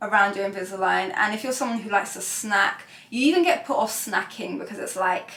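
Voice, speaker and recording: A woman with a British accent speaks at a medium pitch with ordinary pitch variation, and there is noticeable background noise. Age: 20s. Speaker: beauty vlogger. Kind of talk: casual vlog talk to camera. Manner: chatty, many fillers.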